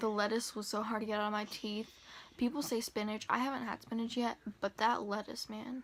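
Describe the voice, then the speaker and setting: A woman speaks at a fairly quick pace in a fairly high, monotone, flat voice. Noticeable background noise runs underneath. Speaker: lifestyle vlogger. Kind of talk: casual vlog talk. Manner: casual, lots of fillers.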